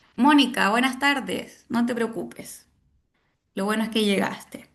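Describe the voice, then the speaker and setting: Her voice is fairly high with vocal fry, as the woman talks at a fairly slow pace with fairly even intonation. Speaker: university lecturer. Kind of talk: online lecture.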